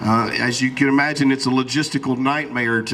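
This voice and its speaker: A man with a Southern US accent speaks loudly at a moderate pace in a medium pitch, his intonation monotone and flat, with noticeable background noise behind him. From Alabama. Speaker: event announcer. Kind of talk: public announcement.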